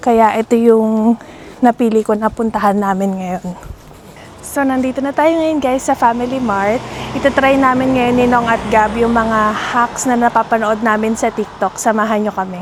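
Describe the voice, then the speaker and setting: A woman speaks at a moderate pace with a fairly high pitch and fairly even intonation. Noticeable background noise runs underneath. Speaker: vlogger. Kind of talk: travel vlog narration. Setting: outdoors at night, then in a convenience store. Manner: soft-spoken, lowered voice.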